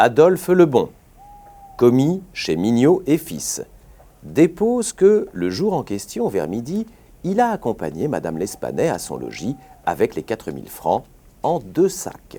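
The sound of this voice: With a dark, mellow tone at a medium pitch, a man speaks at a fairly slow pace while his pitch swings very widely.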